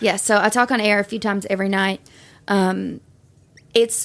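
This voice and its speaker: A woman with a strong Southern accent, medium pitch and a moderate pace, on a very clean recording with a silent background. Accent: thick Southern. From Tennessee, Shelbyville. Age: 20s. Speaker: radio host. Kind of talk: casual chat.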